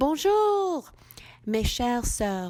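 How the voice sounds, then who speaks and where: A woman speaking at a very slow pace, very cleanly recorded over a silent background. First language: English (speaking French). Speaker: women's ministry leader. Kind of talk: devotional address; scripture reading. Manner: halting.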